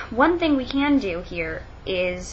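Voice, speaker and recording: A woman is heard with noticeable background noise behind her. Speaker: college student. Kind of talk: casual talk to camera. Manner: slower than usual, hesitant.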